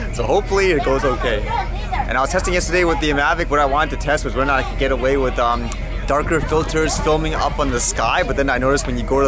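Over clear background music, a man talks at a very fast pace in a dry sound with no echo. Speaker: travel vlogger. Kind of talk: casual vlog chat. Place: boat. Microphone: phone near.

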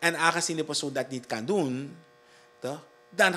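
A man with a Surinamese accent speaks at a fairly high pitch in a bright, sharp tone with ordinary pitch variation. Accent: Surinamese Dutch. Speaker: district commissioner. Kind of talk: interview. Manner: halting. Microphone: handheld.

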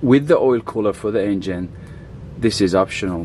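The recording is dry with no echo, and a light background noise runs underneath. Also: man. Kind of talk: tutorial. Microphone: phone near.

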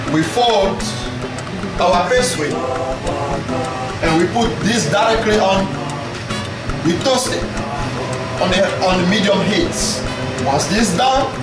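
A man at a fairly slow pace with long, frequent pauses, audible room echo and loud background music. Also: ordinary pitch variation. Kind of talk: cooking tutorial. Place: kitchen.

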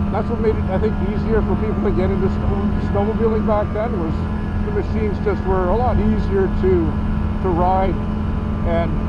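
Loud background noise around a man's moderately paced speech, the sound dry with no echo. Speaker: snowmobile show host. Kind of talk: commentary. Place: open country.

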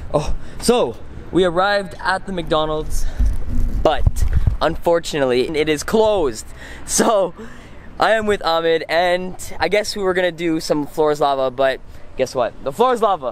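A man speaks at a moderate pace with ordinary pitch variation and long, frequent pauses, his voice dry with no echo over music in the background. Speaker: vlogger. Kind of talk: casual vlog chat. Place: street. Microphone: phone near.

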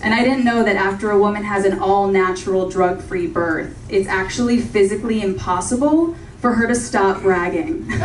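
A woman speaks in an American accent at a moderate pace, with hardly any pauses. Light background noise and audible room echo can be heard. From Orange County, California. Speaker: stand-up comedian. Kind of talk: stand-up comedy set with audience laughter, joke-driven storytelling. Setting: comedy club stage with live audience. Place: stage.

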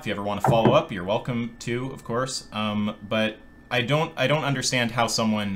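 Against light background noise, a man talks at a fairly quick pace with ordinary pitch variation. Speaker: streamer hosting a debate. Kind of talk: debate discussion. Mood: calm, questioning. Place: home room.

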